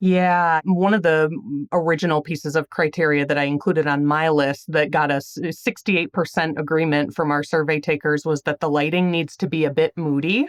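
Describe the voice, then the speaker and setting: In a strong Wisconsin accent, a woman with a very deep, low pitch talks at a fairly quick pace with hardly any pauses, in a dry, close sound with no echo. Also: very even loudness. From Illinois. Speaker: magazine editor. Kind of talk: interview.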